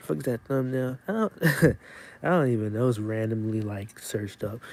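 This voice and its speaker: The speaker is a man with a dark, mellow tone. He talks quietly. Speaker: YouTuber live streamer. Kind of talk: casual live stream chat. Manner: quiet, calm.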